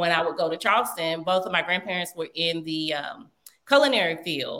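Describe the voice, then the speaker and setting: A moderate pace with a Southern US accent. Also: woman. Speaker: chef and business owner. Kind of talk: interview. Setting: remote call.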